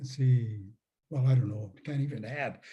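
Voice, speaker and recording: The tone is dark and mellow. The voice is also somewhat breathy. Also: man. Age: 80s+. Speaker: retired professor and author. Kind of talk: Q&A after a talk.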